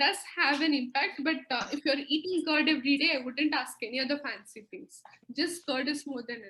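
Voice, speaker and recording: Talking at a fairly quick clip, a woman with a high voice shows big swings in loudness and ordinary pitch variation. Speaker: nutritionist. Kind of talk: webinar Q&A. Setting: video call.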